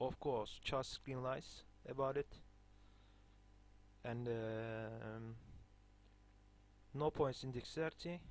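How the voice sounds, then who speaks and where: A man with a non-native accent speaks at a very slow pace, leaving long, frequent pauses. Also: medium pitch for a man, fairly even intonation. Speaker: video game guide maker. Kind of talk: gameplay tutorial. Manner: halting, many fillers.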